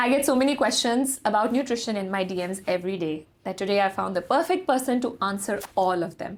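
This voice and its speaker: A woman's fairly high voice, very fast and with lively intonation, on a very clean recording with a silent background. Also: hardly any pauses. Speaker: fitness company founder and podcast host. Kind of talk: podcast interview host. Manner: code-switching between English and Urdu.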